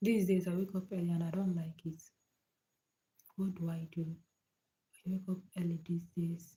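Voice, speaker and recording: A soft-spoken woman's somewhat breathy voice at a medium pitch and a moderate pace, with a dark, mellow tone and a monotone, flat intonation. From Nigeria. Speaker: live streamer. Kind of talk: casual chat. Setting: livestream at night from home. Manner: soft-spoken, lowered voice.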